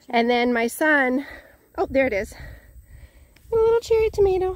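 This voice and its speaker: A woman's voice sounds dry with no echo. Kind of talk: casual vlog chat. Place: garden. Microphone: phone near.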